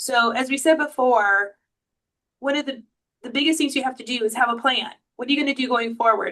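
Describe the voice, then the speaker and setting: A woman talks at a very fast pace and a high pitch, her tone bright and sharp and her intonation fairly even. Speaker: attorney. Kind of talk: webinar presentation.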